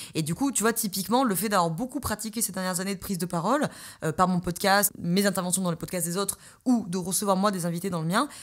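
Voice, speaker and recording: A woman speaks very fast at a medium pitch with ordinary pitch variation, on a very clean recording with a silent background. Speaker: podcast host and coach. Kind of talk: solo podcast monologue.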